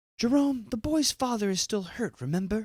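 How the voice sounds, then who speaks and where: This is a put-on character voice. It is pitched fairly high. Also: moderate pace. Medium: read story.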